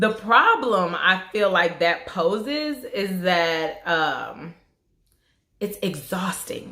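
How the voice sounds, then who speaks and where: With an American accent, a woman speaks very slowly at a medium pitch, her tone bright and sharp and her intonation lively. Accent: southern twang, suppressed at work. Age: 20s. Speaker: beauty vlogger. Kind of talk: casual chat. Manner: conversational with fillers.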